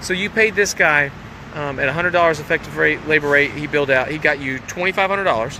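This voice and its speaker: A man rushes along at a very fast pace while noticeable background noise plays underneath. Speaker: business coach. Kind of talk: motivational talk. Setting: outdoors. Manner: animated.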